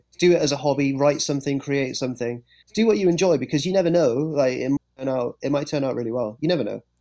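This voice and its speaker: The speaker talks at a very fast pace in an English accent. The tone is dark and mellow, with ordinary pitch variation. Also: man, fairly high pitch for a man. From England. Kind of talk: casual chat. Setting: podcast.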